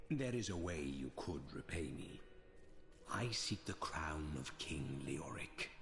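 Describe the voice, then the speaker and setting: A man puts on a character voice at a very deep, low pitch. He talks at a fairly slow pace over clear background noise. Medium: video game. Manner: cold, formal.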